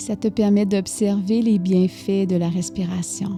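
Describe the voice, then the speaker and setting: Over music in the background, a woman with a Quebec accent speaks at a very slow pace, her medium pitch showing ordinary variation. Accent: Québécois French. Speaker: meditation guide. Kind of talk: guided meditation. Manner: soft-spoken, slow.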